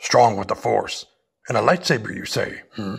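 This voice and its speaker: A man uses a put-on character voice that is raspy and calm in tone. He speaks at a moderate pace with big swings in loudness. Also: medium pitch for a man. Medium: audio drama. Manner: inverted word order, calm, unhurried.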